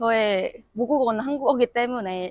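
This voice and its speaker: A normal speaking voice moves at a fairly slow pace. Its intonation is lively. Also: woman, dry, close sound with no echo. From South Korea. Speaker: international student graduate. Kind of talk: interview.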